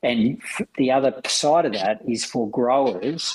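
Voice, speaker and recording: A man with a medium-pitched voice talks in an Australian accent. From Western Australia (rural, Lake King). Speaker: managing director of a grain exchange. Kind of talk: casual interview chat.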